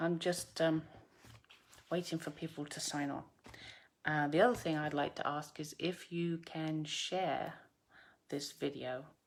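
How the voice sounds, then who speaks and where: A woman with a slight English accent speaks in a very deep, low voice. Her delivery is fairly slow and fairly even, broken by long, frequent pauses. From UK. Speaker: craft demonstrator. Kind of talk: live craft tutorial. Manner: hesitant, many fillers.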